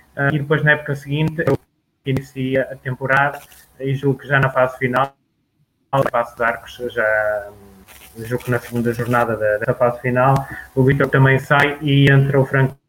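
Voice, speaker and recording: Flat and monotone, a man speaks with long, frequent pauses. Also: medium pitch for a man, moderate pace. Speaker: sports radio presenter. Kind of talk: sports news reading; interview. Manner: halting.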